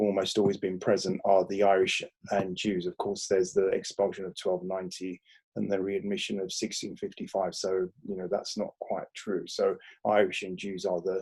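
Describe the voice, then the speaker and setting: Pitched fairly low, a man speaks in a monotone, flat intonation. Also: moderate pace. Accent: London. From London (Crouch End, north London), Greek Cypriot family. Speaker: historian, professor and author. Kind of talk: Q&A at book talk. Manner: hesitant, many fillers.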